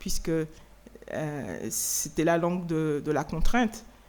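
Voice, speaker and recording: A fairly low-pitched woman's voice with lively intonation. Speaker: writer. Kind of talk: Q&A answer at a lecture. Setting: lecture hall with audience. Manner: hesitant, many fillers and repetitions.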